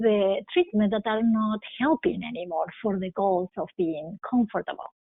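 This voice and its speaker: The woman's fairly high voice carries lively intonation. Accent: non-native. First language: not English. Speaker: critical care physician. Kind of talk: interview.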